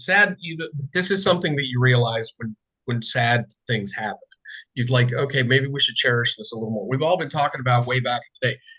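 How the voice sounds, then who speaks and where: A man talks at a very fast pace in a bright, sharp tone at medium pitch. His loudness swings widely while his pitch varies in an ordinary way. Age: 60s. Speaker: political writer. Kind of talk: casual chat. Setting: video call. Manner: halting.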